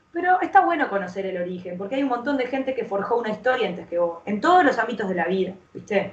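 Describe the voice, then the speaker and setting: Through noticeable background noise, a woman with a fairly high voice races along very fast with very wide pitch swings and hardly any pauses. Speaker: rapper and singer. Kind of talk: casual interview.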